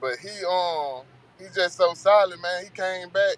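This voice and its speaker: A man with an American accent speaks at a high pitch with ordinary pitch variation. The sound is dry and close, with no echo. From Texas, Bay City. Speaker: rapper. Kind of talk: interview. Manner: fast; repetitive, stammering.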